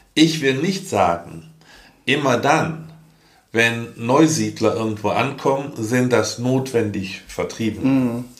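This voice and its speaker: Very slowly, a man speaks at medium pitch with lively intonation. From Germany, rural area. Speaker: podcast co-host, father. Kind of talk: casual chat. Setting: same room, recorded together.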